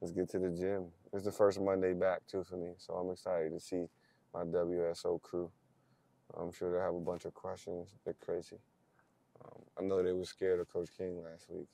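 A man speaks at a moderate pace in a very deep, low pitch, his dark, mellow tone flat and monotone against a dry sound with no echo. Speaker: basketball coach. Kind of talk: casual vlog chat. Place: car. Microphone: camera far.

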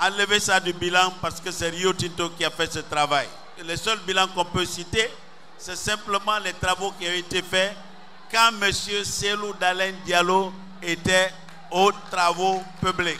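Raised and projected, the voice moves at a very slow pace in a flat monotone, broken by long, frequent pauses over light background noise. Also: man. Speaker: speaker. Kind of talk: campaign speech. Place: stadium. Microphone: handheld.

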